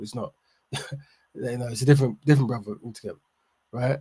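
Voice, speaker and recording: A somewhat breathy male voice with a dark, mellow tone and ordinary pitch variation. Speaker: livestream host. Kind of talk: livestream discussion. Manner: fast; halting.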